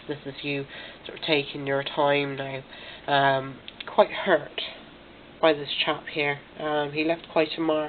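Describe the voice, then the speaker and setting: With noticeable background noise in the mix, a woman talks at a fairly slow pace. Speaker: tarot reader. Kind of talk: tarot reading to camera. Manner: hesitant, many fillers.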